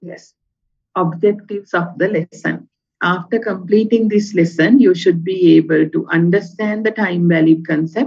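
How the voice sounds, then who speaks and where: Somewhat breathy, a woman speaks at a medium pitch and a moderate pace. Her loudness swings widely. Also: ordinary pitch variation. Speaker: university lecturer. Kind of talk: lecture.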